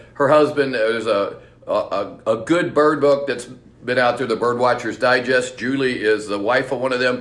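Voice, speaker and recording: Heard with audible room echo, a man with an American accent speaks with ordinary pitch variation. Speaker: bird shop owner. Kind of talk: live seminar. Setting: live stream. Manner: fast; animated.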